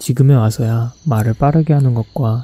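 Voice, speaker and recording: Somewhat breathy and dark, mellow in tone, a man's voice moves at a moderate pace with fairly even intonation. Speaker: graduate student vlogger. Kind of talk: reflective vlog narration.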